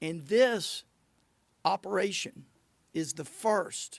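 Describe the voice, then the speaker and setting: Sounding dry and close with no echo, a man with an Arkansas accent speaks with ordinary pitch variation. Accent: southern Arkansas. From southern Arkansas (Magnolia). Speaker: state attorney general. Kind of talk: press conference.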